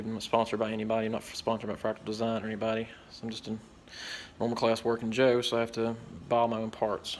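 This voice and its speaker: A man talking at a very fast pace in a Southwest Virginia accent. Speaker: tech hobbyist youtuber. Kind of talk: product review. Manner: casual, hesitant with fillers.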